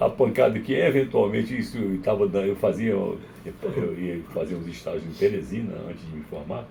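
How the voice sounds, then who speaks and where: A man's voice with big swings in loudness and audible room echo. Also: moderate pace. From Brazil, Maranhão. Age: 70s. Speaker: psychiatrist. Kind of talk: interview. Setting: radio studio.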